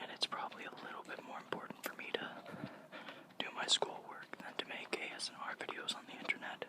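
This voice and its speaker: Whispering at a fairly quick pace, with noticeable background noise. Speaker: college student. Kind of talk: casual ASMR ramble. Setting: outdoors. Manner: whispered.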